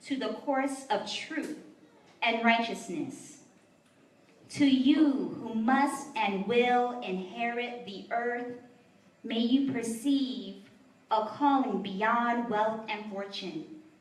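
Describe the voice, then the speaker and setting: A woman speaks at a very slow pace in a high pitch with ordinary pitch variation. Long, frequent pauses break up her speech over noticeable background noise. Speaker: poet. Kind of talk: poetry reading. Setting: live venue.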